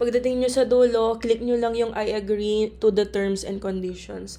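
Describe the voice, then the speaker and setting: The recording is very clean, with a silent background. A woman speaks fairly slowly in a flat monotone. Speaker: pharmacist and tutorial channel host. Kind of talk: tutorial. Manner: casual, polite.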